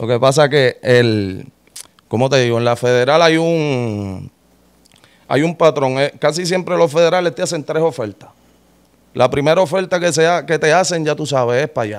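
Against a quiet background, a man with a fairly high pitch talks at a moderate pace, using ordinary pitch variation and long, frequent pauses. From Puerto Rico. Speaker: rapper, former prisoner; interview guest. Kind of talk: interview. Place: studio. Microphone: studio mic.

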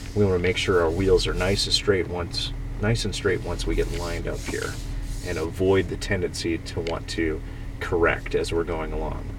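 Noticeable background noise is present throughout. Against it, a man speaks at a moderate pace. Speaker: off-road driving instructor. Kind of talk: instruction. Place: car. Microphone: phone near.

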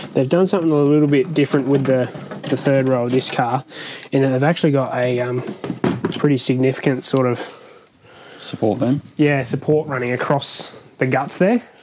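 A fairly quick pace over light background noise. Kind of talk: tutorial. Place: garage. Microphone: lapel.

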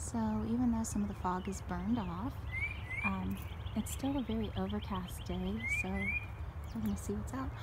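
Over loud background noise, a woman speaks at a moderate pace, the sound dry with no echo. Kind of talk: guided nature walk narration. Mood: cheerful, friendly. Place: open country. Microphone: phone near.

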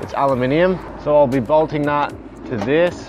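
Over music in the background, the voice shows ordinary pitch variation, with a dry sound and no echo. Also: man. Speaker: van builder vlogger. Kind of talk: tutorial. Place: street.

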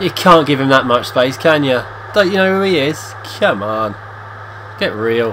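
Against noticeable background noise, a speaker with an English accent talks in a serious tone, with very wide pitch swings and long, frequent pauses. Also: man, medium pitch for a man, moderate pace. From England. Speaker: video game player and commentator. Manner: tongue-in-cheek, switching between mock-serious commentary and groans.

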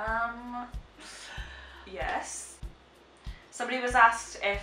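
The recording has audible room echo and faint music in the background. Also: woman. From Shetland, Scotland. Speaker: vlogger. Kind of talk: casual reaction, reading questions aloud. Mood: amused, laughing. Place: home room. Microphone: camera far.

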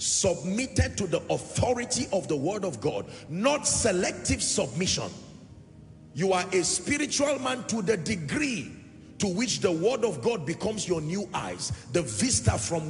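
A man speaks at a fairly slow pace in a high voice, his pitch swinging very widely. Noticeable background noise sits behind him. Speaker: preacher, church minister. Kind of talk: sermon, teaching to a congregation.

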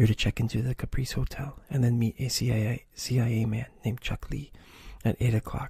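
Speaking in an unforced reading voice, the reader keeps a fairly even intonation.

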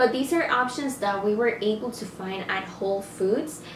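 There is audible echo in the room. A light background noise sits underneath. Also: woman. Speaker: vlogger. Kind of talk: casual vlog chat. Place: home room. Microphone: camera far.

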